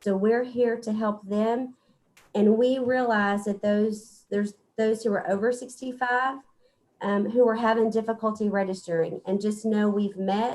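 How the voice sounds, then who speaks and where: A woman with a fairly high pitch talks at a moderate pace in a monotone, flat intonation. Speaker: public health official. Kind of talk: briefing to county court.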